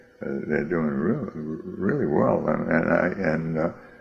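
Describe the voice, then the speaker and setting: A man with an American accent and a very deep, low pitch, at a fairly slow pace with ordinary pitch variation, against noticeable background noise. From US Northeast, Boston. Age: 80s+. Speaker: interviewee, grandfather. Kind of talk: oral history interview. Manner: halting, many fillers and repeats.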